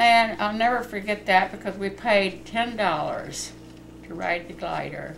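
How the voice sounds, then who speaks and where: Over noticeable background noise, a woman speaks at a medium pitch. Her pace is moderate and her pitch variation ordinary. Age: 80s+. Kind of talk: personal storytelling. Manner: casual, chatty.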